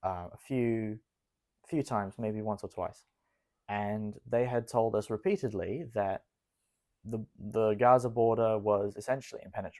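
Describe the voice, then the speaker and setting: In a very clean recording with a silent background, a man with an Australian accent speaks at a moderate pace, with medium pitch, fairly even intonation and a dark, mellow tone. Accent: some Australian. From Israel, Jerusalem. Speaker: army reservist. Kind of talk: interview.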